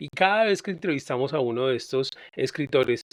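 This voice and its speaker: A man with an unremarkable speaking voice talks at a moderate pace with lively intonation. The sound is dry and close with no echo, over a quiet background. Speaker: podcast host. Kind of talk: podcast introduction.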